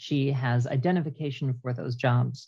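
A woman with a Canadian accent speaks at a very slow pace, her pitch very deep and low. Her voice is somewhat breathy against a quiet background. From Canada. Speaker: traveler and podcast team member. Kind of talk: casual chat.

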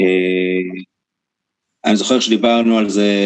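Here a man speaks at a medium pitch. The sound is dry and close, with no echo. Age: 30s. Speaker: stage actor and playwright. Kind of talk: interview conversation.

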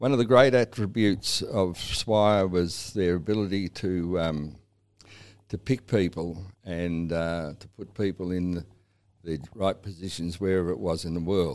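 Someone with an Australian accent talks at a moderate pace on a very clean recording with a silent background. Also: man. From Australia, south-west Victoria. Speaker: cattle farmer. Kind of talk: interview. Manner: halting.

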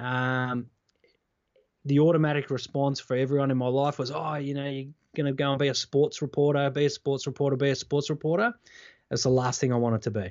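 The pace is fairly quick. The speaker talks with an Australian accent. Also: man, fairly high pitch for a man. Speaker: former TV reporter, keynote speaker. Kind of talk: interview conversation. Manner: energetic.

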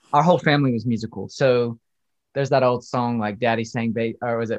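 Against a quiet background, a man with a medium-pitched voice talks at a fairly quick pace. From South Carolina. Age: 30s. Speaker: church music director and minister. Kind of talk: interview conversation.

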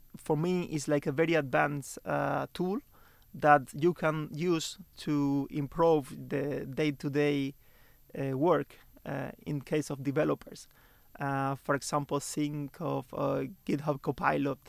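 Speaking very slowly with a Spanish accent, a man with a fairly high pitch keeps his intonation fairly even on a very clean recording with a silent background. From Cuba (Santa Clara). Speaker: software researcher. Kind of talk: interview. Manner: halting, many fillers.

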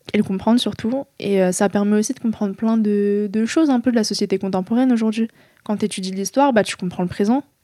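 A woman's dark, mellow tone at a fairly high pitch, very fast in pace and fairly even in intonation, on a very clean recording with a silent background. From France. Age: 20s. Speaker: author. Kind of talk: interview. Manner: halting.

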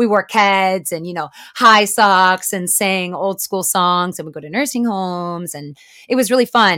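A woman with an American accent speaks at medium pitch with a bright, sharp tone, a fairly slow pace, and ordinary pitch variation. Her loudness swings widely on a very clean recording with a silent background. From US Midwest, Chicago. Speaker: actor. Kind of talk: interview.

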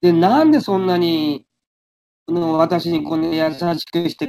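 Recorded with a dry, close sound and no echo, a man speaks in a high pitch with ordinary pitch variation. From Japan. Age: 60s. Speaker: radio sports presenter. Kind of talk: interview. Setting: internet call.

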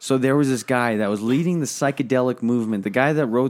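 The man speaks at a medium pitch, with ordinary pitch variation and an ordinary speaking voice. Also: very clean recording, silent background. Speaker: podcast co-host.

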